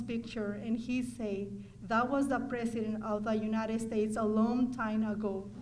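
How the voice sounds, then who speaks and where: With a Mexican accent, a woman speaks at a moderate pace and a fairly high pitch, somewhat breathy, in a monotone, flat intonation. Audible room echo surrounds her voice. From Mexico. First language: Spanish. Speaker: adult student. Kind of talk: testimony.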